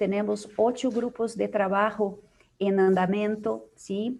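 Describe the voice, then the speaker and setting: A woman with a Portuguese accent, her fairly high pitch and very slow pace. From Brazil. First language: Portuguese (speaking Spanish). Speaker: psychologist, organization leader. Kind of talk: conference Q&A. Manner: halting, many fillers.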